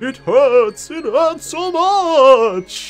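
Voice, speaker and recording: A high-pitched, put-on character voice is heard over faint background music. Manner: spooky, pained.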